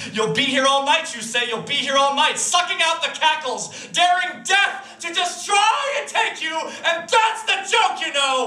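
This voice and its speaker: A man speaks in a raised, projected voice at an extremely high pitch, with very wide pitch swings. His pace is fairly slow with hardly any pauses, and the room echo is audible. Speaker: slam poet. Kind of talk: slam poetry performance. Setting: live stage. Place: stage.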